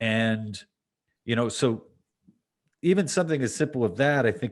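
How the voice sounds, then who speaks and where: With lively intonation, a man talks at a medium pitch and moderate pace against a quiet background. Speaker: comedian. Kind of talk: podcast conversation.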